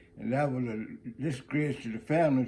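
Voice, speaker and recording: Dark and mellow in tone, a man's medium-pitched voice keeps a fairly even intonation. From South Carolina Sea Islands (St. Helena, Gullah area). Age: 90s. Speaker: retired greeter and former student. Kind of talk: life story interview. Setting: at his home. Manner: halting, with repetitions and false starts.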